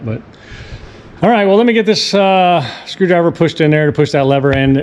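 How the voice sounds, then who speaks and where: Noticeable background noise runs under this recording. A man speaks at a very fast pace. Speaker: boat DIY youtuber. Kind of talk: tutorial. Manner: casual, halting.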